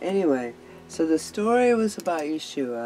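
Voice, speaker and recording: Music plays in the background as a woman speaks at a fairly slow pace. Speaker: Bible study host. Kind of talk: casual vlog chat. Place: home room. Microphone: webcam.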